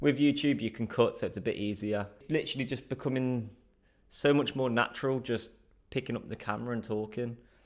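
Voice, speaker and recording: In a southern English accent, a man talks at a fairly quick pace and a medium pitch. The recording is very clean, with a silent background. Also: ordinary pitch variation. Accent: British English (southern England). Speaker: vlogger practising speaking to camera. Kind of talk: casual vlog monologue. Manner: fast; frequent filler words and breaths.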